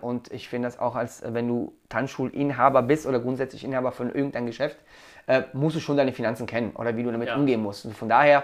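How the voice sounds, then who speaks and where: A man talks at a very fast pace. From Italy. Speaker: dance school owner. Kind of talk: casual chat.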